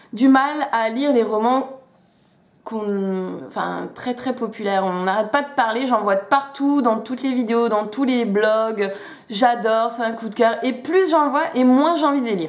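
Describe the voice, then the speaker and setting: Speaking at a fairly slow pace, a woman uses a fairly high pitch with ordinary pitch variation, and audible room echo surrounds her voice. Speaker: booktuber. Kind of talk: casual chat. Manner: hesitant, many fillers; animated.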